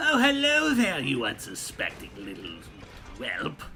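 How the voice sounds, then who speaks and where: A man's put-on character voice at a fairly slow pace amid clear background noise. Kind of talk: theatrical. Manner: taunting, haughty.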